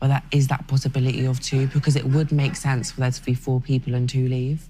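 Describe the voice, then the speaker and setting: The speaker has a strong South London accent and talks at a very fast pace. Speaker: reality TV contestant. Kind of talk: casual chat.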